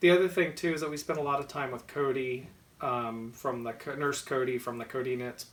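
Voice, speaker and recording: Speaking at a fairly quick pace, a man with an American accent keeps a medium pitch and ordinary pitch variation. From US South, Georgia. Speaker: knitting podcast co-host. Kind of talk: casual chat.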